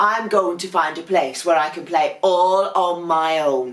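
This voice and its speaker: Delivered at a fairly slow pace, this is a put-on character voice. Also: woman, fairly low pitch for a woman. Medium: read story. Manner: huffy, indignant.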